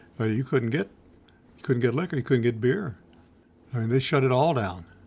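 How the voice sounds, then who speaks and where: A man speaks with a Middle Tennessee accent and a medium pitch. The recording is very clean, with a silent background. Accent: US Southern (Middle Tennessee). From Nashville, Tennessee. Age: 90s. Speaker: retired businessman recalling old times. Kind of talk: oral history interview.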